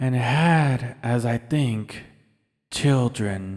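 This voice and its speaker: A man puts on a character voice at a medium pitch. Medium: read story. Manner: calm, measured.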